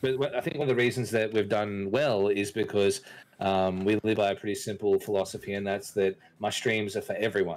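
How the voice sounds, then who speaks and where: Someone speaks at a fairly quick pace in an Australian accent on a very clean recording with a silent background. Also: man. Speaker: streamer, podcast host. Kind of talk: casual chat. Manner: animated, with frequent fillers and repeats.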